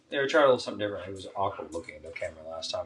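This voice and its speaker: A man mumbles quietly at a very fast pace. Noticeable background noise sits behind him. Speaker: podcast co-host, soldier. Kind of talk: casual chat. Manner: mumbling, quiet; low energy.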